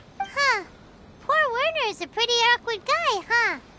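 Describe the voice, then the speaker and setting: Squeaky and extremely high, a put-on character voice delivers its lines at a moderate pace. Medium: video game. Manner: perky, teasing.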